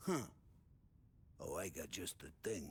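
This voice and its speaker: A man puts on a raspy character voice at a medium pitch, with clear background noise behind him. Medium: video game. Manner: loud, laughing.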